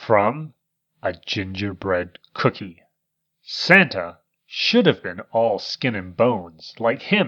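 A natural reading voice with lively intonation against a quiet background

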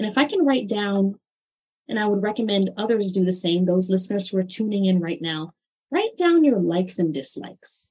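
Somewhat breathy and dark, mellow in tone, a woman speaks at medium pitch and a fairly quick pace with lively intonation. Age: 40s. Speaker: holistic healer and therapist. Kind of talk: interview.

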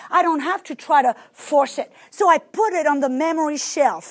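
A woman speaks in a French accent. Her pace is moderate and her pitch variation ordinary. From France. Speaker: preacher. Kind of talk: sermon.

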